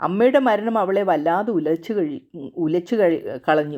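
This woman has an unremarkable speaking voice, medium in pitch, with ordinary pitch variation. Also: very clean recording, silent background. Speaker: storyteller. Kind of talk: reading aloud.

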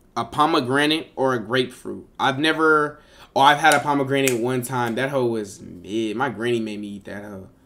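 Faint music plays in the background as a man speaks in an animated tone at a medium pitch with big swings in loudness. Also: ordinary pitch variation, moderate pace. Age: 20s. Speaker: live streamer. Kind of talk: casual live stream chat reacting to viewers. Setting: live stream on camera. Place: home room.

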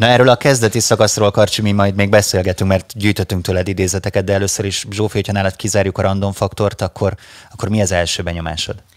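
This man talks at a very fast pace in a fairly low pitch, his intonation monotone and flat. The background is quiet, and the sound is dry with no echo. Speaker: radio host. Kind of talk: casual chat. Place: studio. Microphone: studio mic.

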